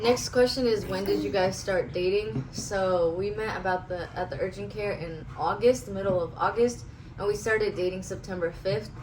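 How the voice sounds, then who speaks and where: A woman at medium pitch with ordinary pitch variation, moderate pace and hardly any pauses, amid noticeable background noise and audible room echo. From US West Coast, raised from age 5 (born in Russia). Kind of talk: casual chat. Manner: sometimes loud, sometimes mumbling.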